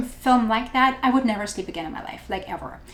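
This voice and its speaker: The voice carries ordinary pitch variation with audible room echo. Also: woman. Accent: German. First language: German. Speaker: photo editing tutorial maker. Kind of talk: tutorial. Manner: animated.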